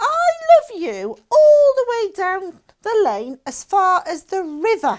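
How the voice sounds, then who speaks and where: A woman's put-on character voice, squeaky and extremely high in pitch, with very wide pitch swings and a fairly slow pace. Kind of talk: bedtime story. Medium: read story.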